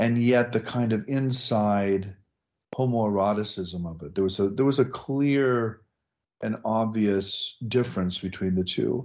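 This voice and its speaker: A man's normal speaking voice with an American accent, medium in pitch with ordinary variation, at a fairly slow pace. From US Midwest, Nebraska. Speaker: professor and author. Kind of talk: interview.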